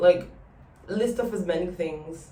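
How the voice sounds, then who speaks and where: Very slowly, a woman speaks in a fairly low pitch with ordinary pitch variation, and room echo is audible. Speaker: vlogger. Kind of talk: casual chat. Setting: outdoors on a balcony.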